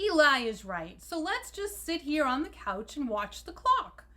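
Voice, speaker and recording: The put-on character voice leaps through very wide pitch swings. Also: woman, high pitch for a woman, moderate pace. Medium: read story. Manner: pompous.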